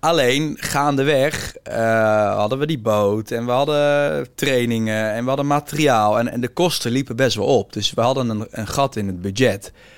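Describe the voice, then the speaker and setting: With noticeable background noise, a man of medium pitch talks at a moderate pace with ordinary pitch variation and hardly any pauses. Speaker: entrepreneur. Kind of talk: interview.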